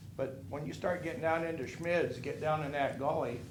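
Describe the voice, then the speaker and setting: Over audible room echo, a man with an American accent and vocal fry speaks at a moderate pace. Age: 60s. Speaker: resident speaking at public comment. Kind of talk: public comment at city council. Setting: city council meeting. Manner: casual, rambling and conversational.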